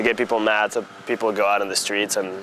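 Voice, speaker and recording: Noticeable background noise accompanies a man with a fairly low pitch. His intonation is monotone and flat. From Tunisia. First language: French. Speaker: college student and tennis player. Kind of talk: interview. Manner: casual, filler-heavy.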